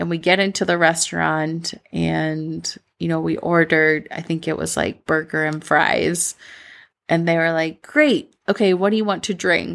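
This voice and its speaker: With a Midwestern US accent, a woman speaks at a fairly slow pace on a very clean recording with a silent background. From Medellin, Colombia, then Minnesota. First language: Spanish. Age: 30s. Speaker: podcast host, mentor. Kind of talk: solo podcast monologue, personal storytelling. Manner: warm, animated, conversational.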